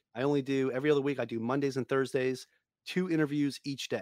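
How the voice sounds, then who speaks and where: In a New York accent, a man talks at a fairly high pitch. The recording is very clean with a silent background, dry and close with no echo. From Long Island, New York. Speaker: real estate investor and podcaster. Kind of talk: casual interview.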